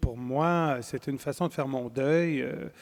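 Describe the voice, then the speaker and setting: On a very clean recording with a silent background, a man with a fairly high voice speaks at a fairly slow pace with ordinary pitch variation. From Quebec, Wendake (Huron-Wendat First Nation). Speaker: poet and writer. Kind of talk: interview at a literary festival. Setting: stage with live audience. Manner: hesitant, many fillers and repetitions.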